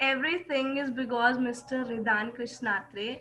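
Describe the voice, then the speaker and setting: A woman projects a raised voice at a high pitch and a fairly slow pace. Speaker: accent training student. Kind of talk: online class discussion.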